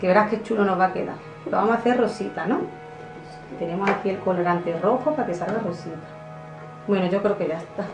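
Over clear background music, a woman speaks at a very fast pace with ordinary pitch variation. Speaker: kids channel host. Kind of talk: casual vlog chat. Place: home room. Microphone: camera far.

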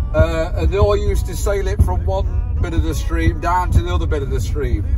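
The talking moves at a fairly quick pace while noticeable background noise carries on. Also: man. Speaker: work truck driver vlogger. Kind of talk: casual vlog chat. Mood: jokey, nostalgic.

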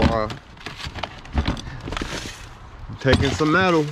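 Noticeable background noise runs under the voice. The sound is dry with no echo. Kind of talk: casual vlog chat. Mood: a bit hesitant, low-key. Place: forest. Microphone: phone near.

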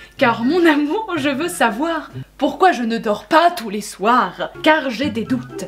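Faint music sits in the background. Over it, a woman talks at a very slow pace. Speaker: youtuber host. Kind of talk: casual vlog chat, reading extracts aloud. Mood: amused, laughing. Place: home room.

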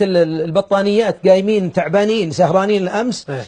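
Against a quiet background, a man speaks at a moderate pace with a dark, mellow tone. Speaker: preacher. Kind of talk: sermon. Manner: raised, emphatic voice at times. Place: studio. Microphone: lapel.

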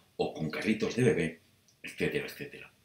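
Audible room echo around a man's speech. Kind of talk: casual vlog chat. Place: home room. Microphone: webcam.

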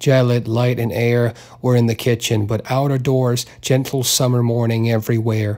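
The speaker uses an unforced reading voice.

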